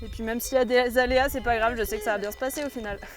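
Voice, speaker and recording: A woman's high-pitched voice comes through with music in the background. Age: 20s. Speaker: cowherd and instructor. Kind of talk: interview testimony.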